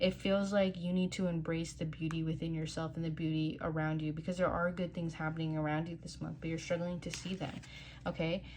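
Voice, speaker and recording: Somewhat breathy and fairly low-pitched, a woman talks at a fairly quick pace in a flat monotone. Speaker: tarot card reader. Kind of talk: tarot reading. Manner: fast; casual, filler-heavy.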